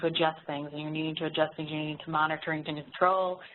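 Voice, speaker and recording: Mumbling in a put-on character voice, a woman with a very deep, low pitch talks at a fairly quick pace with monotone, flat intonation. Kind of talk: casual, professional talk.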